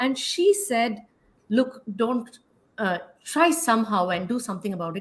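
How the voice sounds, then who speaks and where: A woman talks at a moderate pace in a fairly high pitch, her voice somewhat breathy. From India. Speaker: health YouTuber. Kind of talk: casual interview chat.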